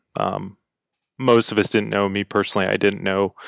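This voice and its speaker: Fairly low pitch from a man with an American accent and fairly even intonation, on a very clean recording with a silent background and a dry, close sound with no echo. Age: 30s. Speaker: army officer. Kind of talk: casual chat.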